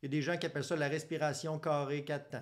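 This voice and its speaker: In a Quebec accent, a man speaks with a fairly high pitch. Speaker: psychologist. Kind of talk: educational monologue. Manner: casual.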